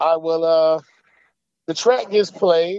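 A man speaks at a fairly slow pace and a fairly high pitch. His intonation stays fairly even. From Atlanta, Georgia (born in Queens, New York). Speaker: rapper. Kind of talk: interview. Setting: phone call. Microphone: phone line.

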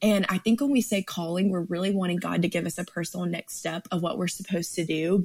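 Her voice is somewhat breathy. The woman's pitch varies in an ordinary way. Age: 20s. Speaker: ministry staff member and Bible teacher. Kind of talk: Bible teaching. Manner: animated.

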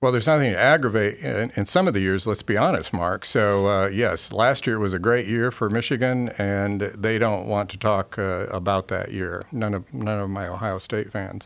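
An ordinary speaking voice from a man with an American accent, fairly low pitch, ordinary pitch variation, a moderate pace and hardly any pauses, on a very clean recording with a silent background. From Brazil (São Paulo), American missionary family. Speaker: business professor. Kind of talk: interview.

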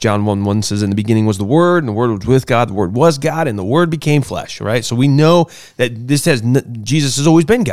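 A man with a plain, everyday voice talks at a medium pitch and a fairly quick pace, his intonation lively. The recording is very clean, with a silent background. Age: 30s. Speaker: podcast host. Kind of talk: casual chat. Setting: studio.

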